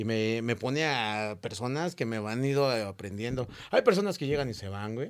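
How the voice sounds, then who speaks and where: In a very clean recording with a silent background, a man speaks at a moderate pace. His pitch is medium, with ordinary variation. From Mexico, Cana neighborhood (north). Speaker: TikToker and street sweeper. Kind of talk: casual interview.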